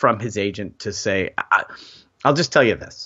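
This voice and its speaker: A man with an ordinary speaking voice talks at a moderate pace in a fairly low pitch. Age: middle-aged. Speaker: sports podcast co-host. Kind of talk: casual chat.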